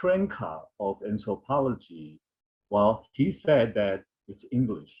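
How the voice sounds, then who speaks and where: Speaking fairly slowly with a non-native accent, a man swings his pitch very widely. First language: not English. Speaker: anthropologist. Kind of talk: panel discussion.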